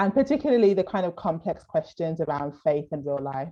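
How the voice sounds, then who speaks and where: Against a quiet background, a woman talks in a Birmingham accent with a very deep, low pitch and a dark, mellow tone. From Birmingham, England. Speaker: theologian. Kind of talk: casual interview.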